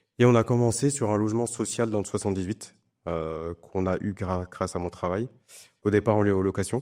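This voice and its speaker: In a very clean recording with a silent background, a man speaks at a fairly quick pace with a dark, mellow tone, a fairly low pitch and ordinary pitch variation. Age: 40s. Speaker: real estate investor. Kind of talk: interview.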